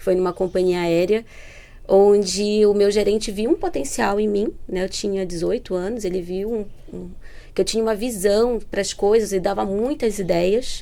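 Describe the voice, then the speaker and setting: Speaking at a fairly slow pace in a Pará accent, a woman has a medium pitch, a dark, mellow tone and fairly even intonation. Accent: northern Brazilian (Pará) accent, noticeable. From northern Brazil (Belém, Pará). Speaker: entrepreneurship program manager. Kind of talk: podcast interview.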